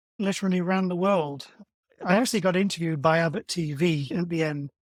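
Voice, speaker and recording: A man with a high pitch talks at a very fast pace. The recording is very clean, with a silent background. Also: ordinary pitch variation. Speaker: marathon runner. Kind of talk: interview.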